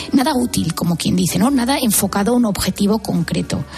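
A very fast pace over noticeable background noise. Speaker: psychiatrist. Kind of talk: radio interview.

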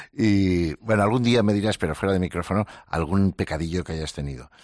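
The recording of this man has a dry, close sound with no echo. His very deep, low pitch shows ordinary variation at a fairly quick pace. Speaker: psychologist. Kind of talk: casual conversation.

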